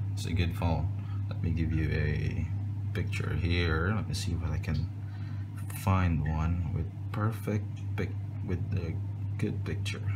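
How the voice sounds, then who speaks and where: The speaker goes at a fairly slow pace with long, frequent pauses. Loud background noise runs underneath. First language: non-native English speaker. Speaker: phone reviewer. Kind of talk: casual talk to camera. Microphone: phone near.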